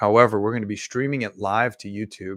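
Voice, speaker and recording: A dry, close sound with no echo, on a very clean recording with a silent background. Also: man. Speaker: meditation guide and livestream host. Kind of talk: live stream announcement. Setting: live stream. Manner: soft and subdued, relaxing. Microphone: microphone held very close to mouth.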